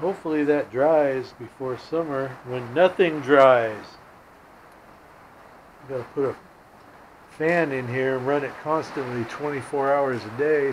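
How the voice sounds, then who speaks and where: A man speaks with fairly even intonation and long, frequent pauses over noticeable background noise. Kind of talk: casual vlog chat. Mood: annoyed, complaining. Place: garage. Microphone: phone near.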